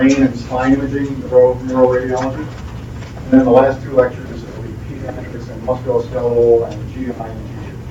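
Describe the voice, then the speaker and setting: A man with an American accent at a medium pitch, monotone and flat, fairly quick with hardly any pauses, big swings in loudness, over noticeable background noise. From US Northeast, New Jersey. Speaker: radiology lecturer. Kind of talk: lecture.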